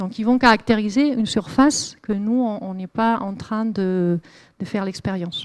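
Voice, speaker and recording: The recording is very clean, with a silent background, as a woman talks in a fairly high pitch at a moderate pace. Her pitch variation is ordinary, though her loudness swings a lot. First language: Spanish (speaking French). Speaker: climate researcher. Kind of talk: lecture. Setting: lecture hall with audience. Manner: hesitant, many fillers.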